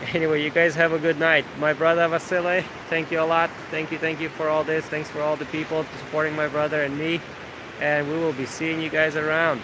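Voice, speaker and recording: With noticeable background noise behind him, a man speaks at a fairly quick pace in a monotone, flat delivery. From Ukraine. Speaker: coffee business owner. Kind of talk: live stream chat. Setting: outdoors. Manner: hesitant, many fillers.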